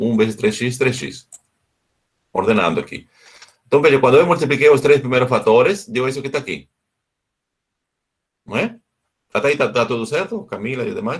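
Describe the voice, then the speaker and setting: A somewhat breathy voice with long, frequent pauses and very wide pitch swings. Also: man, medium pitch for a man, moderate pace. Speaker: math teacher. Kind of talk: lecture.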